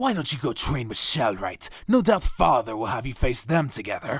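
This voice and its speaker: Putting on a character voice, a man at medium pitch makes very wide pitch swings at a moderate pace. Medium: audio drama. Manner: dry, curt, sarcastic.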